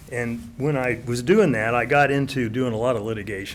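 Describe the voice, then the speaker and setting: A man talks with fairly even intonation, and audible room echo hangs around his words. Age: 70s. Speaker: retired real estate appraiser speaking at public comment. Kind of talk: public comment at city council meeting. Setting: city council chamber. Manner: fast.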